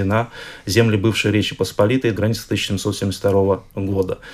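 The man's voice is fairly low in pitch and somewhat breathy. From Belarus. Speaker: historian, institute director. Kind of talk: radio interview. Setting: studio.

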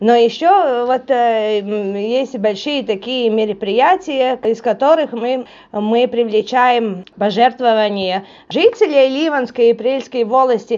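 A woman speaks at a very slow pace with a high pitch, ordinary pitch variation and a Latvian accent. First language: Latvian (speaking Russian). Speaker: charity foundation board chair. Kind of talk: radio interview. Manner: halting, many fillers.

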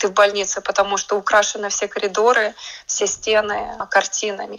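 Noticeable background noise sits behind a woman whose medium-pitched voice stays monotone and flat at a moderate pace. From Latvia, Riga. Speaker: artist. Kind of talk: radio interview. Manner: hesitant, with fillers.

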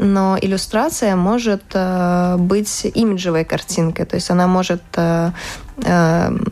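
Fairly even intonation from a woman with a fairly low voice, over noticeable background noise. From Latvia. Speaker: fashion illustrator. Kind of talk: casual interview.

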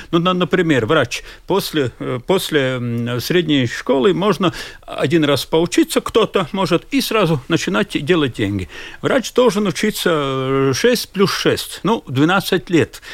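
Talking at a very slow pace with a Latvian accent, a man uses a high pitch, very wide pitch swings and very even loudness. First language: Latvian (speaking Russian). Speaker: social policy expert. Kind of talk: radio discussion. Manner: halting.

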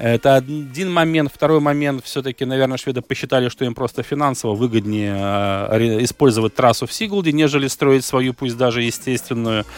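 At a fairly quick pace, a man talks in an ordinary speaking voice, medium in pitch with ordinary pitch variation, in a dry, close sound with no echo. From Latvia, Riga. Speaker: sports radio host. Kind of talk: radio sports talk show. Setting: radio studio.

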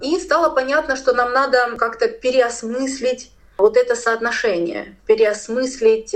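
A woman's high-pitched voice with ordinary pitch variation, at a fairly slow pace. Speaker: philosopher and cultural studies lecturer. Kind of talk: radio interview, lecture-like explanation.

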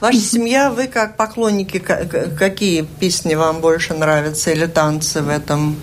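Amid noticeable background noise, a woman with a fairly low pitch speaks at a fairly slow pace with hardly any pauses, very even loudness and lively intonation. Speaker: radio host. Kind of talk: radio interview. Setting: studio.

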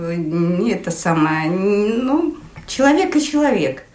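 A woman speaks with very wide pitch swings, her voice carrying audible room echo over noticeable background noise. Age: 60s. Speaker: design engineer. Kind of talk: interview. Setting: at home.

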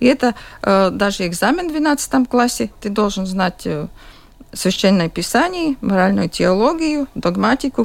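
A woman with a Latvian accent speaks at a fairly slow pace and medium pitch. Her pitch swings very widely. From Latvia, Jurmala. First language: Latvian (speaking Russian). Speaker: school principal. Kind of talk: radio interview. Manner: halting.

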